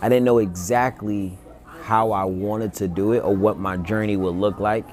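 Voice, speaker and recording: In an ordinary speaking voice, a man talks at a moderate pace with a fairly low pitch and fairly even intonation. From North Carolina, Greensboro. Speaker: podcast host, realtor. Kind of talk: casual interview.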